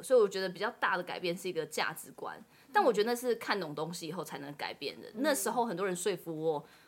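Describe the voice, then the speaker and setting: A woman speaks at a very fast pace and medium pitch. Her intonation is lively. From Taiwan. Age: late 20s. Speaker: author and overseas job consultant. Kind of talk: interview.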